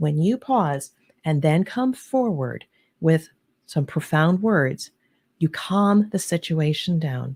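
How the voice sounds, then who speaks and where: In an American accent, a woman speaks at a fairly low pitch with a dark, mellow, somewhat breathy tone and lively intonation. The sound is dry and close with no echo, and the recording is very clean over a silent background. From US East Coast, New Jersey/New York area. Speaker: leadership advisor and author. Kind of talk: interview.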